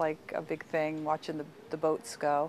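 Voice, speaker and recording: A woman speaks with a Long Island accent. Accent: Long Island New York. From US Northeast, Long Island, New York. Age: 60s. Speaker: local resident recounting family history. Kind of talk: interview reminiscence. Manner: casual, with many fillers.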